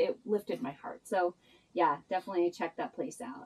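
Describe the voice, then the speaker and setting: A woman talks at a moderate pace, her intonation lively. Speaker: travel vlogger. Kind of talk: casual vlog chat. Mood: cheerful, laughing.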